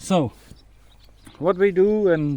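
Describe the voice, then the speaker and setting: A man speaks very slowly with lively intonation over noticeable background noise. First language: Czech. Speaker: car mechanic and enthusiast. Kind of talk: video walkthrough of a car. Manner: halting, many fillers.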